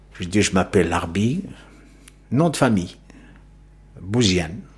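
A man is speaking. His pitch swings very widely. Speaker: former immigrant worker, witness. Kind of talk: testimony. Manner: halting.

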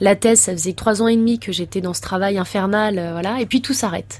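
A woman with an unremarkable speaking voice, at a medium pitch with ordinary pitch variation and a fairly quick pace. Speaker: former footballer and speaker. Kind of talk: radio interview.

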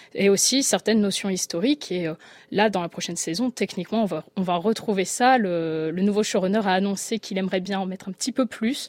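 Recorded dry and close with no echo, a woman speaks very fast with ordinary pitch variation. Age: 20s. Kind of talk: radio panel discussion.

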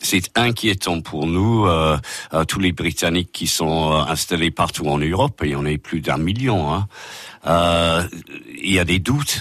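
A man speaks with an English accent in a very deep, low pitch. He goes at a very slow pace, with ordinary pitch variation. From England, Liverpool. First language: English (speaking French). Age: 60s. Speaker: guest, English expat. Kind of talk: radio interview. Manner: hesitant.

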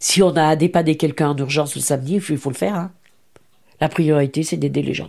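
The voice is dark and mellow with vocal fry, moving at a very fast pace with ordinary pitch variation on a very clean recording with a silent background. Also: woman, very deep, low pitch for a woman. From France, Lyon (Saint-Fons). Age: 70s. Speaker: retired charity volunteer. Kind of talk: interview testimony.

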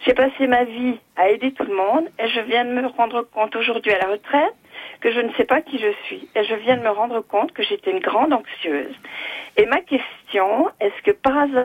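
Her intonation lively and her pitch high, a woman speaks at a moderate speed. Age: 60s. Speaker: retired nurse. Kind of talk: call-in testimony. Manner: halting.

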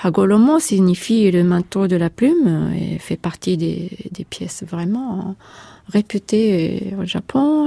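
A woman with a Japanese accent speaks at a very slow pace and medium pitch. Her pitch varies in an ordinary way, and the sound is dry and close, with no echo. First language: Japanese (speaking French). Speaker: composer. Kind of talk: interview. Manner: halting.

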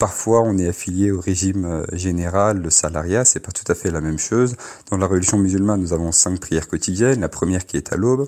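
Here a man speaks. His pitch is very deep and low, with ordinary variation. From France, Paris region. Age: 20s. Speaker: imam. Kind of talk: radio interview. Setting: phone line. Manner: halting, many repetitions and fillers.

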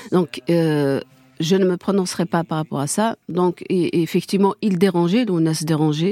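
With an Algerian accent, a woman speaks at a fairly slow pace in a fairly low pitch and fairly even intonation, the sound dry and close with no echo and music in the background. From Kabylie, Algeria. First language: Kabyle (speaking French). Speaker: widow of a murdered singer, activist. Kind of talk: radio interview, testimony. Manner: halting, many repetitions.

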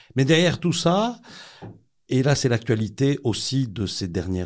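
A man speaks with lively intonation. The recording is very clean and the background silent. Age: 60s. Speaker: protestant newspaper director. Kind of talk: interview, testimony.

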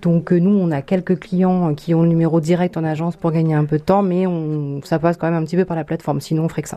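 A woman speaks at a very fast pace with hardly any pauses. Her fairly low voice stays in a monotone, flat intonation. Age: 30s. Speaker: business owner. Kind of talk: interview. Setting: office. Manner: halting, with fillers.

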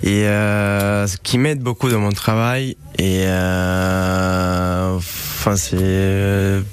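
A man with a Romanian accent at a very slow pace, his loudness very even and his intonation fairly even, with audible room echo and noticeable background noise. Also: fairly low pitch for a man. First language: Romanian (speaking French). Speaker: chef. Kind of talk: radio interview. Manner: halting.

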